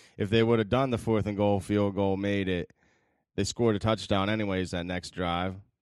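Against a quiet background, a man talks at a moderate pace. His intonation is fairly even. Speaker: podcast co-host. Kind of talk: casual chat.

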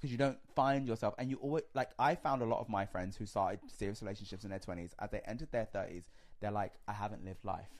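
A man with a London accent at a very fast pace, fairly low in pitch with ordinary pitch variation, on a very clean recording with a silent background. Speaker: reality TV personality. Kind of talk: casual chat.

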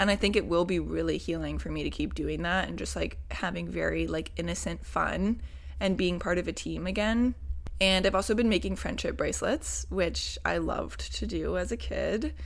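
The speaker talks at a moderate pace with an American accent. Audible room echo surrounds the voice. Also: woman. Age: 20s. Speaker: podcast host. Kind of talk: personal monologue. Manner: casual, filler-heavy.

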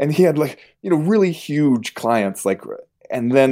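A man talks at a very fast pace with lively intonation and a dark, mellow tone. The recording is very clean, with a silent background. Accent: American. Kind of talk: casual chat.

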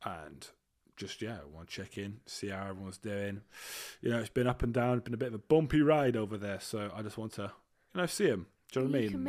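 On a very clean recording with a silent background, a man with an English accent speaks at a very fast pace and fairly low pitch, in an excited tone with lively intonation and big swings in loudness. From Britain. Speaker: podcast co-host. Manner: casual, excited.

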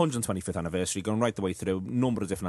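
A man speaks with a Liverpool accent at a very deep, low pitch with ordinary pitch variation. The background is quiet. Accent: Liverpool (Scouse). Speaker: radio football podcast host. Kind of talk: radio football talk show. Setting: studio.

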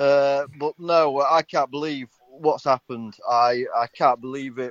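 A man's medium-pitched voice keeps a fairly even intonation. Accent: English. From England. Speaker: caller. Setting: phone call. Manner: halting, filler-heavy.

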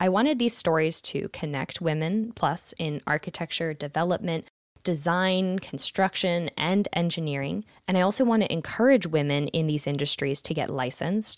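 An unremarkable speaking voice belongs to a woman with a fairly low pitch and lively intonation, speaking at a moderate pace. The sound is dry and close with no echo, with a quiet background. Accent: American. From Philadelphia, Pennsylvania, US. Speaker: podcast host and architect. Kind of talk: scripted podcast introduction.

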